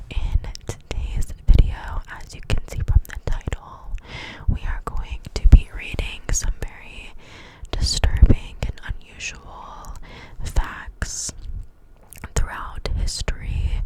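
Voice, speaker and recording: A woman whispering at a very slow pace, with big swings in loudness, over noticeable background noise. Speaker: ASMR creator. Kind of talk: casual talk to camera. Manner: whispered.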